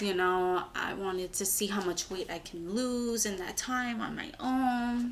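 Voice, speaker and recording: Medium-pitched woman with a New York accent. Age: 20s. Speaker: vlogger. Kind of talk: casual vlog monologue. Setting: filming herself on camera. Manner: animated, rambling.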